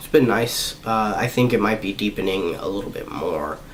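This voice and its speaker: A man's fairly low voice amid noticeable background noise and audible room echo. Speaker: vlogger. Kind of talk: personal vlog update. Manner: halting.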